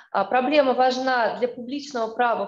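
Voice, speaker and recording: This voice moves at a moderate pace with ordinary pitch variation, and audible room echo surrounds it. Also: woman, quiet background. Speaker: law lecturer. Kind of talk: academic presentation. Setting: video call. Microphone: video call.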